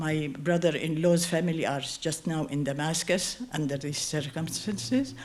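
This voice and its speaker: Fairly slow speech from a woman in a space with audible room echo. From Jordan, Circassian community. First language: Kabardian. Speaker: community speaker on endangered language. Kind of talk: personal talk at event. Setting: stage with audience. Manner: halting.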